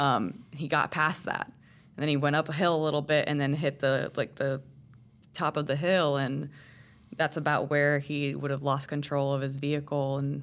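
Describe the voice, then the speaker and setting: Very deep, low female voice with vocal fry, a monotone, flat intonation and a moderate pace. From Puerto Rico. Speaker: newspaper reporter. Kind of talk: interview.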